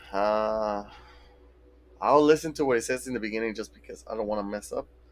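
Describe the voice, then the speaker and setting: This man, with a Mexican accent, speaks fairly quickly at medium pitch with lively intonation. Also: long, frequent pauses, big swings in loudness. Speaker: video game streamer. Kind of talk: casual live-stream chat. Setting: live stream.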